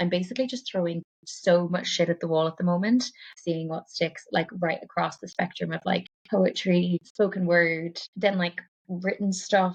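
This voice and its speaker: With a Cork accent, this somewhat breathy voice moves at a moderate pace with fairly even intonation. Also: woman, fairly low pitch for a woman. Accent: Irish (Cork). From West Cork, Ireland. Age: 30s. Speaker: poet, writer and performer. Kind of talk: podcast interview answer. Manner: casual, rambling.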